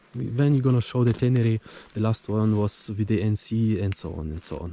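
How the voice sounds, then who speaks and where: A fairly low-pitched man at a fairly quick pace, with ordinary pitch variation and noticeable background noise. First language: not English. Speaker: motorcycle vlogger. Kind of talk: casual vlog monologue. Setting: outdoors in the woods. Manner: halting.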